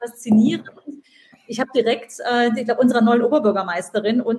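Somewhat breathy, a woman's fairly high voice has a dark, mellow tone and fairly even intonation. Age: 40s. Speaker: podcast host, author and digital entrepreneur. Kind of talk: casual interview chat. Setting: LinkedIn live stream.

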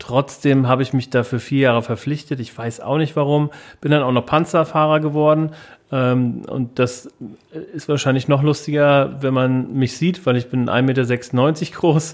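On a very clean recording with a silent background, a man with a normal speaking voice talks fairly slowly at a fairly high pitch, his intonation fairly even. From Hesse, Germany (Wiesbaden). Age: 30s. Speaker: podcast co-host, founder. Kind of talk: casual chat.

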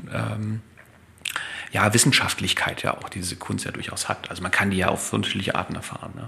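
A man talks fairly quickly, his loudness swinging widely, with noticeable background noise behind him. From East Germany. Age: 40s. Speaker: neurologist. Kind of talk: casual interview. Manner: halting, many filler sounds.

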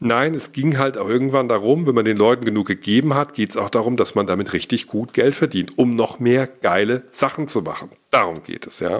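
Talking at a fairly quick pace, a man holds a medium pitch with ordinary pitch variation. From Hesse, Germany (Gießen). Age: 40s. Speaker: podcaster and YouTuber, media entrepreneur. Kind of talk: solo monologue, personal story.

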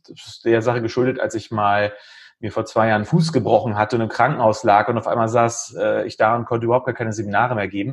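Very fast and medium-pitched, a man speaks with fairly even intonation. His loudness swings widely. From northern Germany, Lüneburg Heath (Lower Saxony). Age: 40s. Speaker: IT entrepreneur. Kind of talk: podcast interview.

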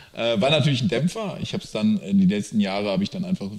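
A man's voice makes very wide pitch swings. There is noticeable background noise. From Lower Rhine region, Germany. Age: 30s. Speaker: startup founder. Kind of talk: interview.

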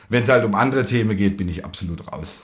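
A man's somewhat breathy, fairly low voice with lively intonation. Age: 20s. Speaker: winemaker. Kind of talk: casual interview. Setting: on location at a winery, at a table.

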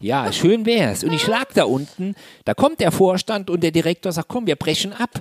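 A man with a high pitch and lively intonation speaks at a moderate pace in a dry, close sound with no echo and noticeable background noise. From Saarland, Germany. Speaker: motivational trainer. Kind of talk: interview.

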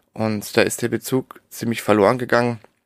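An unremarkable speaking voice, this man's is medium in pitch, with fairly even intonation, a moderate pace and a dry, close sound without echo. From Darmstadt near Frankfurt, Germany. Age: 30s. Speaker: entrepreneur, founder of a farm-camping platform. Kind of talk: interview. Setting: separately recorded audio track.

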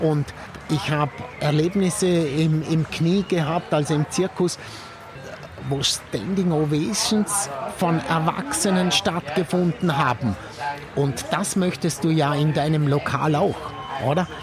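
Amid noticeable background noise, a man with a fairly high pitch talks at a very slow pace, with long, frequent pauses and very even loudness. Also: ordinary pitch variation. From Austria, Vorarlberg (Feldkirch). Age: 60s. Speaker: chef. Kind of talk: casual conversation over dinner.

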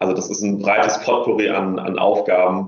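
This man has a very deep, low voice. He speaks at a moderate pace. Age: 20s. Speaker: youth welfare consultant. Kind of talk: interview. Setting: remote call. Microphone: poor audio quality.

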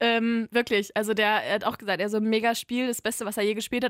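A woman's fairly high voice at a very fast pace, dry and close with no echo, on a very clean recording with a silent background. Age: 20s. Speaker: guest, gamer's girlfriend. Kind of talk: casual chat. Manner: animated.

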